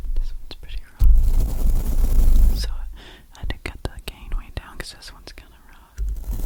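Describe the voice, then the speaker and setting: Whispering at a fairly slow pace, a woman swings widely in loudness over noticeable background noise. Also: hardly any pauses. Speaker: ASMR creator. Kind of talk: ASMR question and answer, talking to camera. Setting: close microphone. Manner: soft-spoken, whispery, repetitive phrasing.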